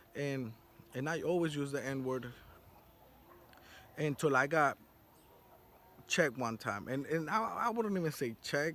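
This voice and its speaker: A man with a fairly high, bright, sharp voice speaks fairly slowly in an animated tone, using lively intonation and long, frequent pauses. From South Florida. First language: Spanish. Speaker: vlogger. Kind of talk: casual monologue. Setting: outdoors on a rooftop.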